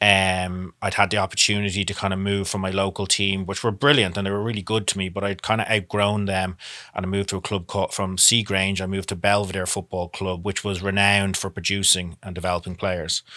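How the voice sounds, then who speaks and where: In an Irish accent, a man talks very fast at a fairly low pitch with flat, monotone intonation, on a very clean recording with a silent background. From Ireland, Dublin. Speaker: former professional soccer player. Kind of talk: interview.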